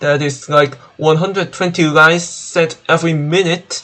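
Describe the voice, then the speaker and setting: A man's high voice in a Korean accent, fairly slow and with fairly even intonation. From South Korea. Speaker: gaming streamer. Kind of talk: gaming live stream commentary. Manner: halting.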